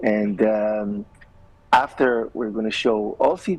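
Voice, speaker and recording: Speaking at a fairly slow pace, a man with an Israeli accent uses a medium pitch. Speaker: filmmaker. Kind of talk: TV interview. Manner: hesitant, many fillers.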